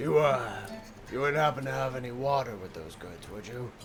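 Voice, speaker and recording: A man does a raspy, put-on character voice at a medium pitch. He goes at a fairly quick pace over clear background noise. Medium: actual play.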